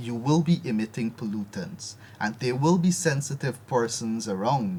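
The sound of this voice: Lively intonation marks a man with a medium pitch and a slightly mellow tone, speaking at a moderate pace.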